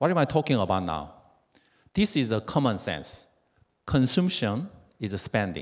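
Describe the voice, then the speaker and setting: Against a quiet background, a man with a Korean accent and vocal fry speaks at a moderate pace, his pitch swinging very widely between long, frequent pauses. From South Korea. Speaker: network marketing distributor; speaker. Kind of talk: motivational speech. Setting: stage with audience. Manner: halting. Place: hall. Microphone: handheld.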